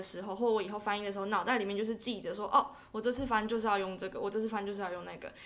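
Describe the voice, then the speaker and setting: A woman speaks in an unremarkable speaking voice. Her pitch is fairly high, with ordinary pitch variation. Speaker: interpreting graduate student. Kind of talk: casual interview.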